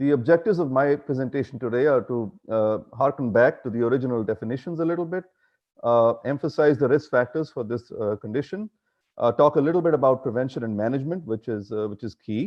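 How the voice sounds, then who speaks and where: A man at medium pitch, ordinary pitch variation and a very fast pace. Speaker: physician lecturer. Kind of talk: conference lecture. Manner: loud.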